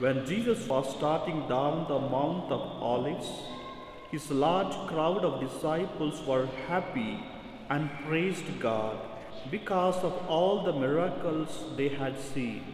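A man talks at a very slow pace with very even loudness and ordinary pitch variation. There's audible room echo and light background noise. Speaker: priest. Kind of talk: scripture reading at mass. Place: church. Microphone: podium.

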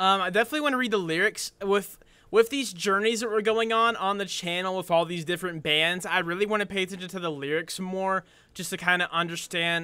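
A man speaks in a raised, projected voice with a bright, sharp tone. His pace is very fast. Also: ordinary pitch variation. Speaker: reaction video host. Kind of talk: casual reaction commentary. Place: home room.

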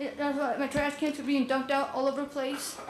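The speech comes at a very fast pace. Room echo is audible, and there is noticeable background noise. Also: woman. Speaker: resident speaking at public comment. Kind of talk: public testimony at city council. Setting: city council meeting. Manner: halting, repetitive.

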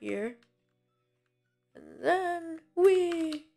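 Music plays in the background as a woman speaks with very wide pitch swings. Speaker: gaming video creator. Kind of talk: gameplay commentary. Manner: animated.

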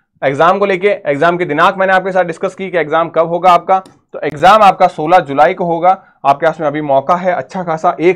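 Against a quiet background, a man speaks with a high pitch. His intonation stays fairly even. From India. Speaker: nursing entrance exam coach. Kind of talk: educational tutorial video. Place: classroom. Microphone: lapel.

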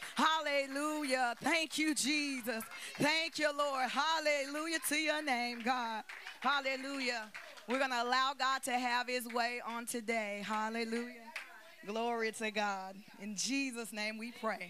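Light background noise behind a woman's fairly slow delivery. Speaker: prayer leader. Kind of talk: opening prayer. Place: church. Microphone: handheld.

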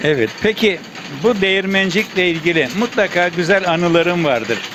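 There is noticeable background noise as a man with a high pitch speaks at a moderate pace. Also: ordinary pitch variation. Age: 70s. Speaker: local TV reporter. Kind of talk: field interview questions.

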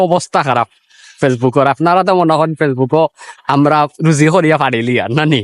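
A man's voice, fairly high in pitch. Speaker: vlogger. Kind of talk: casual vlog. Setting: outdoors by a river.

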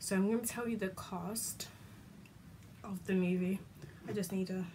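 There is light background noise as a woman speaks with a British accent. Her intonation is flat and monotone. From UK. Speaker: YouTuber; vlogger. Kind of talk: casual vlog chat. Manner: rambling, halting. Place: home room. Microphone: phone near.

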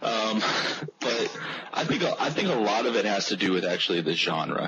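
Over noticeable background noise, a man speaks at a fairly slow pace with a fairly low pitch and lively intonation. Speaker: gaming panelist. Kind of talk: roundtable discussion. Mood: relaxed, conversational. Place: home room. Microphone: video call.

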